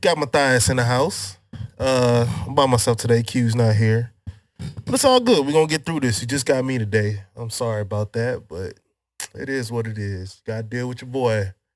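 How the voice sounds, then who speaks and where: Music plays behind a man speaking at a medium pitch and a moderate pace. His pitch varies in an ordinary way, while his loudness swings widely. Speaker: podcast host. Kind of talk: casual chat. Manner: casual, relaxed.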